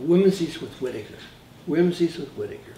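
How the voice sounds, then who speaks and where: Through noticeable noise behind him, a man talks somewhat fast. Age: 80s+. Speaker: composer and arranger. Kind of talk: interview reminiscence. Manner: halting, repeats words.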